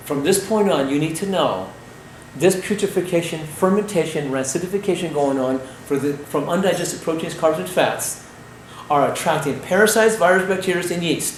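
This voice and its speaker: An animated tone at a moderate pace, with audible room echo and noticeable background noise. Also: man, high pitch for a man, ordinary pitch variation. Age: 60s. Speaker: raw food health educator. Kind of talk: health lecture.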